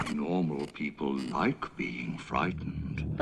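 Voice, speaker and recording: At a very slow pace, a put-on character voice speaks at a very deep, low pitch against clear background noise. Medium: short film. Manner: doleful, hollow.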